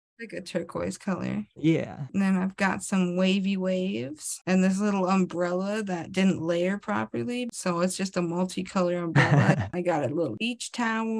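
A woman speaks at a moderate pace with hardly any pauses. Her pitch varies in an ordinary way. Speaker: co-host drawing on phone. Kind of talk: casual chat. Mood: light, laughing. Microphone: video call.

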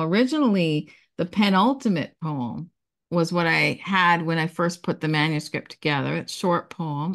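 Against a quiet background, a woman talks at a moderate pace in a fairly low pitch with lively intonation. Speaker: poet and publisher. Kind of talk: conversational interview. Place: home room. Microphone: video call.

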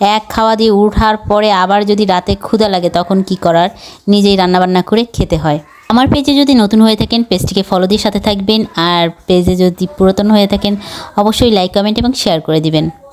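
In an ordinary speaking voice, a woman talks at medium pitch with ordinary pitch variation and very even loudness. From Bagerhat, Bangladesh. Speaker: vlogger. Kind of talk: casual vlog talk to camera.

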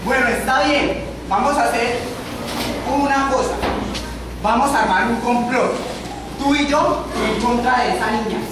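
Delivery is fairly slow, broken by long, frequent pauses. Strong room echo and noticeable background noise fill the recording. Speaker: skit actor. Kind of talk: theatrical skit dialogue. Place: church. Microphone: camera far.

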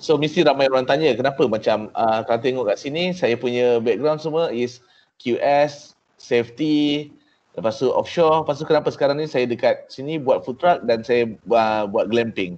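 A man speaks with a Malaysian accent at a moderate pace. His voice is fairly high, with ordinary pitch variation. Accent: Malaysian Malay with English code-switching. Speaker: entrepreneur. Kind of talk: talk to trainees. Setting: video call. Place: office. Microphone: video call.

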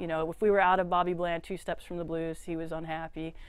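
Recorded dry with no echo and faint music in the background, a woman speaks with an American accent. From Austin, Texas. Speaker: record store owner. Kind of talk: interview. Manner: frequent fillers and repetitions. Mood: friendly, relaxed. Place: shop.

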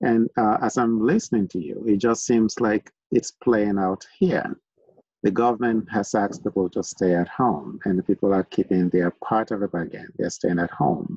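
Over a quiet background with dry sound and no echo, a man speaks at a moderate pace in a fairly low pitch, his tone dark and mellow with ordinary pitch variation. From Nigeria. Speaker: online talk show host. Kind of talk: casual interview conversation. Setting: video call. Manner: halting, many fillers. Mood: warm, relaxed. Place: home room. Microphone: video call.

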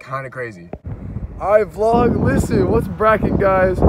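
Over noticeable background noise, a man with an American accent speaks at a fairly quick pace with lively intonation and a dry sound with no echo. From Oklahoma. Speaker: YouTuber vlogger; vlogger. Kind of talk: casual vlog narration. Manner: animated.

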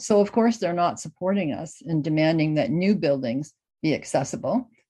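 A woman with a Canadian accent has a dark, mellow tone at a fairly low pitch, with lively intonation. She speaks at a moderate pace against a quiet background. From Canada, Ontario. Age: 80s+. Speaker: housing accessibility advocate. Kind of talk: recorded conference talk. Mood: earnest, advocating. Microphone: webcam.

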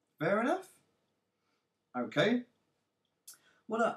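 This man's pitch swings very widely. He talks at a fairly slow pace. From North East England. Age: 30s. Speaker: internet marketer. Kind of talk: sales pitch to camera.

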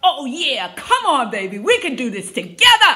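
Raising and projecting her voice, a woman speaks at a high pitch in an upbeat, energetic tone. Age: 60s. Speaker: fitness instructor. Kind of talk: workout class instruction to camera. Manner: upbeat, motivating, energetic. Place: home room. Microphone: phone near.

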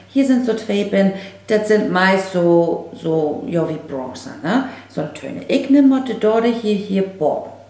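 With a northern German accent, a woman speaks at a very slow pace with lively intonation in audible room echo. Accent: Low German, northern German. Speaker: makeup vlogger. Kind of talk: casual makeup tutorial talk to camera. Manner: chatty, informal. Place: home room.

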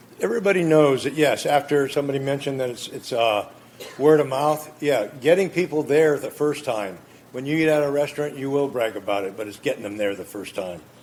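Fairly high in pitch, a man speaks with an American accent and lively intonation. Noticeable background noise can be heard. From California, Gilroy. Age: 70s. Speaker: appellant at city council. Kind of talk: public hearing testimony. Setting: city council chambers. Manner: loud.

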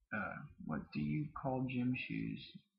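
The speech comes at a very slow pace with an American accent. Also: man. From southern Mississippi. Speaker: vlogger. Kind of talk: casual talk to camera. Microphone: webcam.

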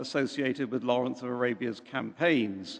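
This man talks with ordinary pitch variation. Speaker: speaker. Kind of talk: formal introduction to audience. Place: church.

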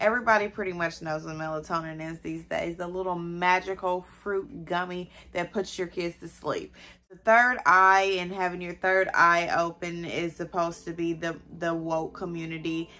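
With a bright, sharp tone, the voice moves at a moderate pace with fairly even intonation. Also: woman, fairly low pitch for a woman. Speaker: mother / content creator. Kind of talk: casual talk to camera. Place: home room. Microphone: phone near.

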